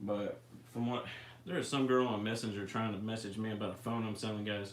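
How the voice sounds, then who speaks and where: A man talks at a very fast pace with a Memphis accent, and audible room echo surrounds his voice. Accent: Southern US (Memphis area). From US South, near Memphis, Tennessee. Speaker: RC hobby livestream host. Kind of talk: casual livestream chat. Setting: live stream.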